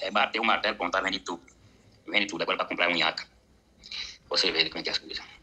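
The speech runs at a very fast pace, broken by long, frequent pauses. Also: man. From Uberlândia, Minas Gerais, Brazil; Minas Gerais, Brazil. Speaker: football fan sending voice message; football fan channel host. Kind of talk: voice message. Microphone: studio mic.

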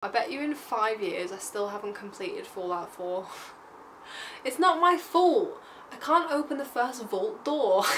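In an English accent, a woman speaks at a fairly slow pace with a high pitch and very wide pitch swings, over light background noise. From England. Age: 20s. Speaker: vlogger. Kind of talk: casual talk to camera. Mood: playful, joking. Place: home room.

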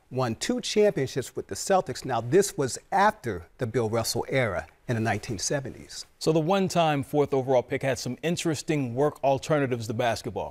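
Hardly pausing at all, a man keeps to a moderate pace. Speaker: sports journalist host. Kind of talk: commentary. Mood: relaxed storytelling. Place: studio. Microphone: lapel.

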